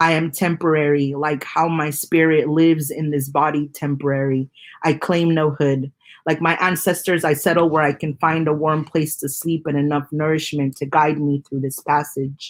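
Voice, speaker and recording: Speech comes at a moderate pace on a very clean recording with a silent background. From Mexico, raised in southern California and Las Vegas. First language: Spanish. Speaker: poet. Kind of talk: poetry reading.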